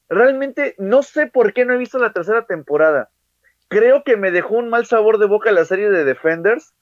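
Lively intonation marks this man's high-pitched voice, delivered at a moderate pace. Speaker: podcast co-host. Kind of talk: casual chat.

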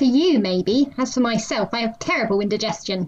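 A female-sounding put-on character voice speaks at a fairly high pitch. The pace is fairly quick. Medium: read story. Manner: formal, literal, deadpan.

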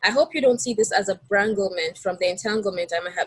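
A woman speaks at a medium pitch with a somewhat breathy quality, the sound dry and close with no echo. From Nigeria. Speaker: university student. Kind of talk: casual interview. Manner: hesitant, filler-heavy.

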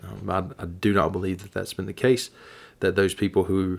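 A man speaks at a fairly quick pace in a very deep, low voice. The recording is very clean with a silent background. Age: 40s. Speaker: ministry podcaster. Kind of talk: solo monologue podcast. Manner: halting, many fillers.

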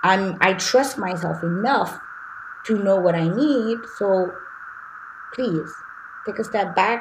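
With noticeable background noise, a woman with a Haitian accent speaks at a medium pitch with ordinary pitch variation, leaving long, frequent pauses. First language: Haitian Creole. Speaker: life coach. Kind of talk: interview conversation.

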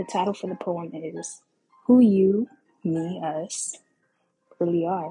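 Soft-spoken and somewhat breathy, the voice has a dark, mellow tone, ordinary pitch variation and big swings in loudness. It moves at a very slow pace with long, frequent pauses. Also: woman. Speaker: podcast host. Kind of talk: casual monologue. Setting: home recording with background music.

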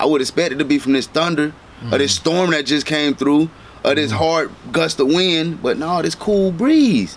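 Someone with an American accent talks at a moderate pace with ordinary pitch variation and very even loudness. Noticeable background noise runs underneath. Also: man, fairly high pitch for a man. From Dade City, Florida. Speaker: rapper. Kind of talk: casual interview.

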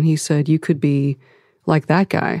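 A dark, mellow tone in a Midwestern American accent, with a dry, close sound and no echo. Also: woman. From Ohio, US Midwest. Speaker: former FBI agent, civil rights advocate. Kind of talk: interview.

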